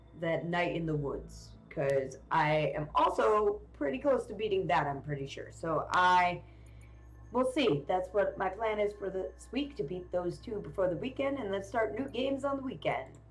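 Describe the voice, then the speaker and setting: There is audible room echo on this clip. A woman speaks at a moderate pace. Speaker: video game streamer. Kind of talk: live game stream commentary. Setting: live stream. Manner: loud.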